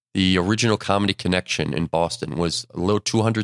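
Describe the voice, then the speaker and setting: An unremarkable speaking voice belongs to a man with a fairly low pitch and ordinary pitch variation. The recording is very clean with a silent background and a dry, close sound with no echo. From Buffalo, New York. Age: 50s. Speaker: comedy club owner and booker. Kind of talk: casual interview chat. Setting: studio.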